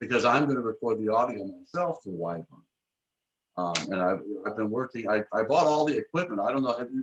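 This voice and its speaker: A plain, everyday voice with an American accent, fairly quick and with lively intonation. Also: man. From Michigan, US. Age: 60s. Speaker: author and publisher. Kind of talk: casual interview.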